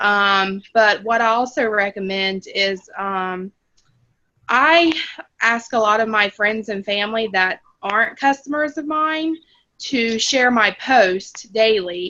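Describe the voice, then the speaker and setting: With a Florida accent, a woman speaks at a very slow pace in a fairly high, bright, sharp voice with ordinary pitch variation. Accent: Gainesville accent, noticeable. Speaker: team member, HR worker. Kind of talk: video call sharing tips. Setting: video call on phone. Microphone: phone connection cutting in and out.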